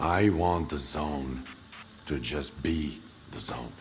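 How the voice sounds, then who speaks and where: A man puts on a raspy character voice with a very deep, low pitch and ordinary pitch variation. He goes at a very slow pace over clear background noise. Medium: video game. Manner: grave, terse.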